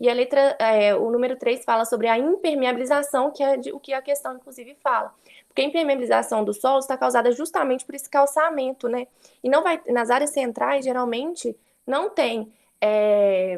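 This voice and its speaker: With ordinary pitch variation, a woman's voice sits at a high pitch. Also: moderate pace. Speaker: student teacher. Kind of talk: online class lecture.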